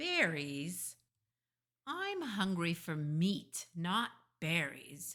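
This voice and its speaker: A put-on character voice, growling at a middle pitch, very slow, with long, frequent pauses. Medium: read story. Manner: growling, sly.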